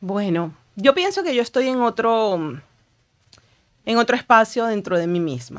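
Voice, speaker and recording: Speaking at a fairly slow pace with long, frequent pauses, a woman lets her pitch swing very widely against a quiet background. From Venezuela. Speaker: author and writing coach; writing coach. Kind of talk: interview conversation. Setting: studio. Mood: reflective, emotional, personal. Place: studio. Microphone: studio mic.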